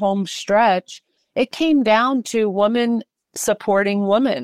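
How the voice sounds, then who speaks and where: A woman with an American accent speaks at a very slow pace with ordinary pitch variation. The recording is very clean, with a silent background. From Massachusetts (Worcester). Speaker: filmmaker and nonprofit founder. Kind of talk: interview.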